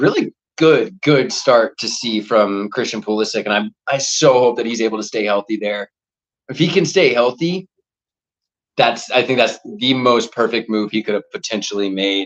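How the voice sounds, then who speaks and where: A man with an American accent, medium pitch, ordinary pitch variation, an animated tone and a moderate pace. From US South. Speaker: football watchalong streamer. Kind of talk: live watchalong commentary. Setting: home livestream, cooking while talking. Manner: casual, animated.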